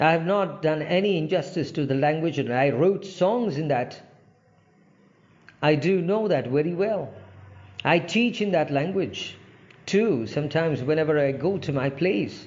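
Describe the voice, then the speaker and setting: With an Indian accent, a man speaks at a moderate pace with fairly high pitch and ordinary pitch variation. He leaves long, frequent pauses, and audible room echo surrounds him. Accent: Indian English (Telugu). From India, Andhra Pradesh. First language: Telugu. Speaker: English language trainer. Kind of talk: informal talk to camera. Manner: halting, many fillers.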